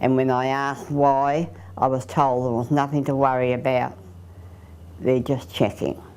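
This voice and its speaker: This speaker has a dark, mellow tone with an Australian accent, keeping a moderate pace and fairly even intonation. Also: woman. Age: 80s+. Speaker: aging mother and carer. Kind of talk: interview testimony.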